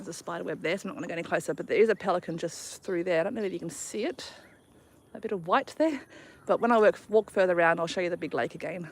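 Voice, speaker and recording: A woman's very fast, fairly low voice with big swings in loudness. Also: lively intonation. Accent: Australian. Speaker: travel vlogger. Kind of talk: casual chat. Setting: outdoors.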